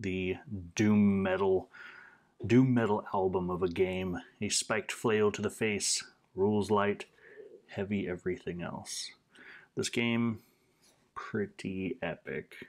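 A man speaks at a very slow pace with long, frequent pauses. The background is quiet. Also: fairly low pitch for a man, fairly even intonation. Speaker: tabletop game reviewer. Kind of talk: casual review chat. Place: home room.

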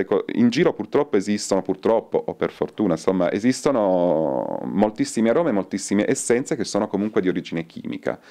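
Against a quiet background, a man with a dark, mellow tone speaks at a very fast pace with hardly any pauses. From northern Italy, Turin; northern Italy. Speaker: soap maker and botanist; interviewee. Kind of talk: interview. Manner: halting. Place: shop. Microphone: handheld.

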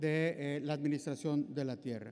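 This is a man speaking. His pace is moderate. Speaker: session co-chair; conference presenter. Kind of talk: conference panel moderation. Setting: conference room with audience. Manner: halting. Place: hall. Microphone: podium.

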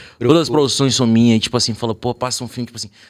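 A man speaks very fast with fairly even intonation. The recording is very clean, with a silent background. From small town in Bahia, Brazil. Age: 20s. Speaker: music producer and musician. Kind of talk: casual chat.

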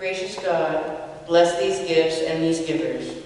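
A woman's low pitch with ordinary pitch variation, slightly mellow tone and slow pace, all in strong room echo.

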